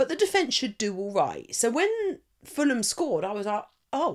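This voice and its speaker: A woman with an English accent speaks with very wide pitch swings. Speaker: fantasy football podcaster. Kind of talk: casual live stream chat.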